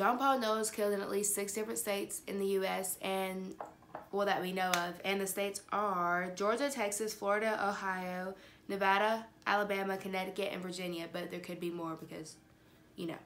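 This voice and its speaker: This woman talks at a fairly quick pace. Her intonation is fairly even. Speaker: true crime vlogger. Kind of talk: casual vlog chat. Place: home room. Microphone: phone near.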